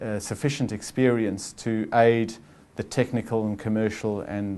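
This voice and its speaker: A man's fairly low, dark, mellow voice with a South African accent, flat monotone intonation and a moderate pace. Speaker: chief financial officer. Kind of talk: interview. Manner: calm, measured; halting, many fillers.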